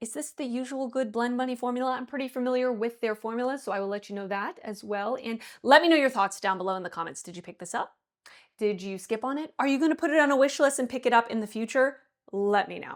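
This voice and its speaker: A woman with a high pitch talks at a very fast pace, her loudness swinging widely and her tone animated. Her pitch varies in an ordinary way, and the recording is very clean with a silent background. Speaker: beauty youtuber. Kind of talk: tutorial.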